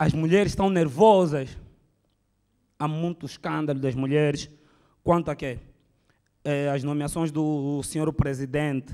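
Against a quiet background, a man with an Angolan accent and a dark, mellow tone talks at a moderate pace with fairly high pitch and fairly even intonation. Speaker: stand-up comedian. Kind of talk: stand-up comedy, political satire. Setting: stage with audience. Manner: conversational, rhetorical questions to audience. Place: hall. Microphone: handheld.

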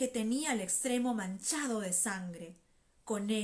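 Ordinary pitch variation accompanies someone reading aloud in a natural voice.

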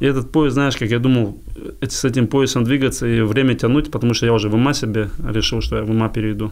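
A man talks at a very fast pace, the background quiet. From Dagestan, Russia. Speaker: boxer and MMA fighter; podcast guest. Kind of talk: casual interview. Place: studio. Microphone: studio mic.

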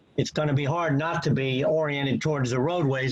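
A man's fairly high voice at a moderate pace, fairly even in intonation, with noticeable background noise. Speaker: engineer and planner giving testimony. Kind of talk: expert testimony at public hearing. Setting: video call. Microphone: connection freezing.

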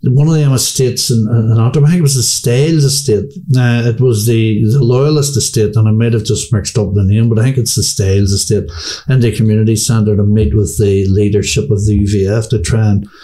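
This man has a Belfast accent and a dark, mellow tone that is somewhat breathy. He talks at a fairly quick pace with ordinary pitch variation and very even loudness. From Northern Ireland, Belfast. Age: 60s. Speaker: former paramilitary; interviewee. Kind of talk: interview. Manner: halting. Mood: calm, candid storytelling. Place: home room. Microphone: studio mic.

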